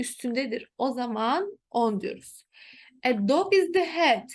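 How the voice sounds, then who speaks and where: A woman's voice with very wide pitch swings. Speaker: teacher. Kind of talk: tutorial.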